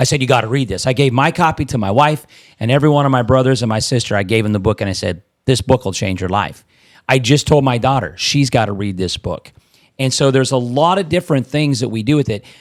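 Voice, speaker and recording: Very fast and animated, a man speaks with a Midwestern US accent, a medium pitch and ordinary pitch variation. The recording is very clean, with a silent background. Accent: US Midwest. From Nebraska. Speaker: real estate investor and trainer. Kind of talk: casual podcast chat. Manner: animated, repeats words.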